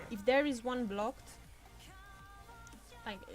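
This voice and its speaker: A woman keeps her intonation fairly even. Background music can be heard behind her. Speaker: gamer. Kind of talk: gameplay tutorial commentary.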